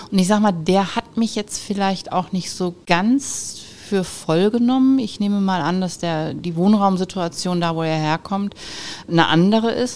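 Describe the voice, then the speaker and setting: In an ordinary speaking voice, a woman talks at medium pitch with ordinary pitch variation. She keeps a moderate pace. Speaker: business owner, managing director of a metalworking firm. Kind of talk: interview. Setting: at her company premises.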